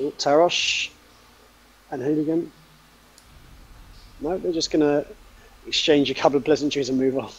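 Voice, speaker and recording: Speaking with a British accent at a moderate pace, a man uses a fairly high pitch and fairly even intonation, leaving long, frequent pauses. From Britain. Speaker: esports commentator. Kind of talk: live commentary.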